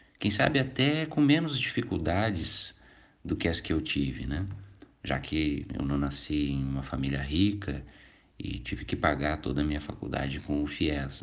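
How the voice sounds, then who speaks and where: Audible room echo surrounds a man whose very deep, low pitch moves with ordinary variation at a moderate pace. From southern Brazil, Canoas (Rio Grande do Sul). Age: 40s. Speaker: lawyer and vice-mayor candidate. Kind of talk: interview.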